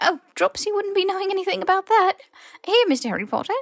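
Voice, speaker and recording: This put-on character voice is squeaky and extremely high-pitched. It is raised and projected and moves at a very fast pace. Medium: read story. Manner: servile, broken grammar.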